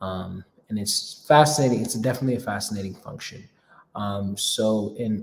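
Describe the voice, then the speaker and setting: A man's voice with ordinary pitch variation. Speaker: host of a live Q&A. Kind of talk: casual live stream talk. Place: home room. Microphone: phone near.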